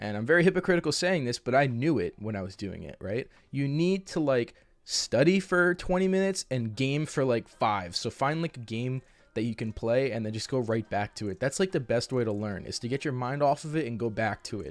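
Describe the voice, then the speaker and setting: In a normal speaking voice, a man with medium pitch talks at a fairly quick pace with lively intonation and hardly any pauses, on a very clean recording with a silent background. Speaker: YouTube advice host. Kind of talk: casual advice talk to camera.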